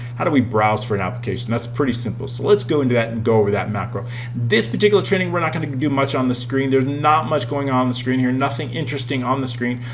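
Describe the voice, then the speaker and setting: A man at a medium pitch, very fast and with hardly any pauses, ordinary pitch variation, audible room echo and noticeable background noise. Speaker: Excel software trainer. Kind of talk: tutorial. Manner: animated.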